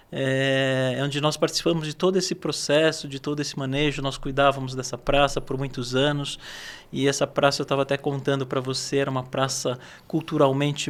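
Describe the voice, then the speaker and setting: The man's pitch is fairly high and his intonation monotone and flat. He keeps a moderate pace. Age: 60s. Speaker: agronomist and landscaping business owner. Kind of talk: podcast interview.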